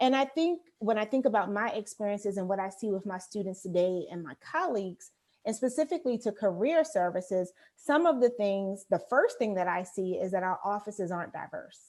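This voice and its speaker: In an American accent, a woman talks at a fairly quick pace with lively intonation and medium pitch. She has an unremarkable speaking voice, on a very clean recording with a silent background. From Baltimore, US Mid-Atlantic. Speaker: career services director. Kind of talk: interview.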